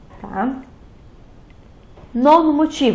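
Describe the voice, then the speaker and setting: A woman's voice with audible room echo. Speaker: teacher. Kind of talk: lecture.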